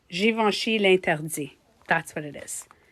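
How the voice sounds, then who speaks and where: The speaker uses lively intonation and a fairly slow pace in a French Canadian accent. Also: woman. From Quebec. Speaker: beauty coach and livestreamer. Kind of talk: casual livestream chat.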